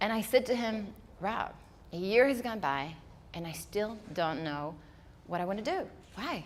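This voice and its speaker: Very wide pitch swings and long, frequent pauses, with audible room echo. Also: woman, medium pitch for a woman, moderate pace. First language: not English. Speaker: speaker. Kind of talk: keynote talk.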